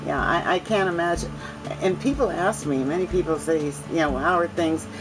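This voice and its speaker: Over music in the background, a woman with a fairly low pitch speaks at a fairly quick pace, with ordinary pitch variation and very even loudness. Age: 70s. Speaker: reverse mortgage client. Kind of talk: testimony. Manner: halting.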